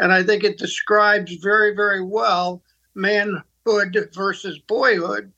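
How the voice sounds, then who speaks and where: A man with an American accent speaks at a fairly slow pace in a raised, projected voice. His pitch is high, and his intonation is monotone and flat. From US Northeast, Pittsburgh. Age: 80s+. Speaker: ministry leader and mentor. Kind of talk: interview conversation. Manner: halting, repeats words.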